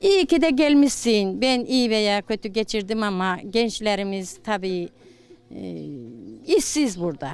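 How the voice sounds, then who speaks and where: Her pitch is fairly high. This woman's voice moves in very wide pitch swings. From rural Isparta, southwestern Turkey. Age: 60s. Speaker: villager interviewee. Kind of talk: street interview.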